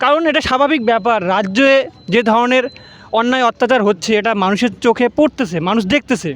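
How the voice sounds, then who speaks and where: Here a man speaks in an extremely high pitch with ordinary pitch variation and very even loudness. The sound is dry and close, with no echo. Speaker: street reporter. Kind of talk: field report to camera. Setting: outdoors.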